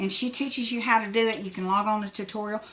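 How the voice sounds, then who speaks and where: A woman speaks in a fairly high voice with an Appalachian accent. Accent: Appalachian hillbilly. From Tennessee. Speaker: crafter. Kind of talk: live craft tutorial. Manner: casual, chatty.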